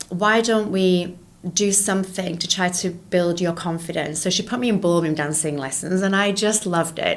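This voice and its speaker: A woman with a British accent at a moderate pace, medium in pitch and fairly even in intonation. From England. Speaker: entrepreneur and educator. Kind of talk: interview conversation.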